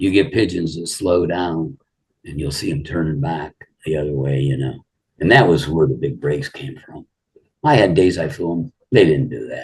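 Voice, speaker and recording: Vocal fry and lively intonation in an American accent, at a moderate pace with big swings in loudness. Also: man, very deep, low pitch for a man. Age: 70s. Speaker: pigeon fancier. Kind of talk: casual interview.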